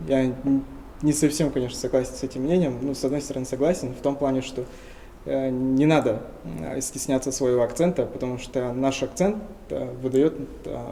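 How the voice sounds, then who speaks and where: A man's medium-pitched voice at a moderate pace, with ordinary pitch variation, long and frequent pauses, and noticeable background noise. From Tuva, Russia. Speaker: linguist. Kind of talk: interview.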